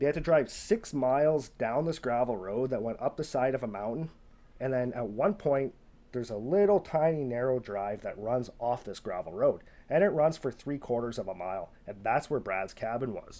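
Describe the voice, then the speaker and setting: Putting on a raspy character voice, a man speaks at a medium pitch and a moderate pace with lively intonation. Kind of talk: casual storytelling. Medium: solo performance. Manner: conversational, repetitive, unhurried.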